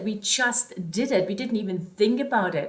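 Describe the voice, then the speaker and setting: A woman speaks with a slight German accent and lively intonation. Noticeable background noise can be heard. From Germany (born East, moved West). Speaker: life coach / vlogger. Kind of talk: motivational talk to camera.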